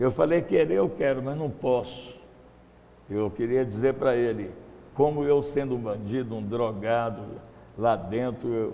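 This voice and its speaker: In a room with audible echo, a man speaks at a fairly slow pace with long, frequent pauses. His pitch sits at a medium level with ordinary variation. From Brazil, Minas Gerais. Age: 70s. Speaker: missionary. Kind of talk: testimony. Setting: church.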